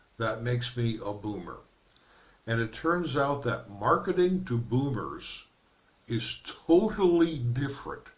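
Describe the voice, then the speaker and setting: Audible room echo surrounds a man who speaks fairly slowly with lively intonation. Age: 70s. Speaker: minister giving a workshop presentation. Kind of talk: lecture.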